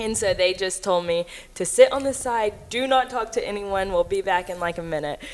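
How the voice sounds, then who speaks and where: Fairly even intonation at a moderate pace, with a Texan accent. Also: woman. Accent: Texan US Southern. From Texas (Cleveland, Texas). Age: 20s. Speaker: hunter and social media personality. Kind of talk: casual interview chat.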